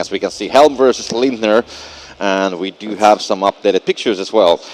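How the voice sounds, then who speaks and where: A man with a Finnish accent speaks at a fairly quick pace and a fairly low pitch with ordinary pitch variation. The sound is dry and close with no echo, though noticeable background noise is present. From Finland. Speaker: esports commentator. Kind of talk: live commentary. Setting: live event venue.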